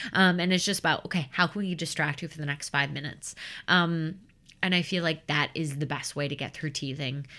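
A woman with an American accent, very deep and low in pitch, fairly quick in pace, with fairly even intonation. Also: very clean recording, silent background. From US Midwest, Chicago suburbs. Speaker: professional nanny. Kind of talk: casual interview.

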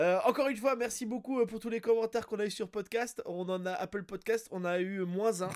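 A man's high-pitched, fairly quick delivery with hardly any pauses and ordinary pitch variation, over noticeable background noise. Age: 40s. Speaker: podcast host. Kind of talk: casual chat.

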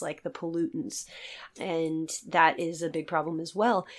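Someone with an American accent speaks on a very clean recording with a silent background. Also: woman. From Virginia, US. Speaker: seal rescue conservationist. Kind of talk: interview.

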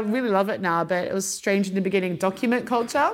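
Fairly quick speech in an Australian accent with ordinary pitch variation, in a very clean recording with a silent background. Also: woman. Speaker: business executive. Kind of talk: guest interview talk at a live event. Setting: live event with audience. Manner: casual, filler-heavy.

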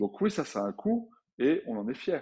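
Over a quiet background, a man speaks with lively intonation. His voice has a dark, mellow tone. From France, Grenoble. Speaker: entrepreneur, clothing brand founder. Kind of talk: interview. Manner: hesitant, many fillers and repeats.

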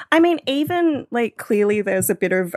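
With an Australian accent, a woman speaks at a moderate pace in a fairly high pitch with very wide pitch swings, recorded very cleanly against a silent background with a dry, close sound and no echo. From Australia, northeast New South Wales. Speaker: podcast producer and radio worker. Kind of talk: casual chat.

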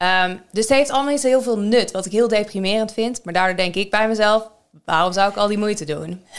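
Speaking at a fairly quick pace, a woman with a plain, everyday voice keeps a medium pitch and ordinary pitch variation. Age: 30s. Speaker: podcast co-host. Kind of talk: casual chat.

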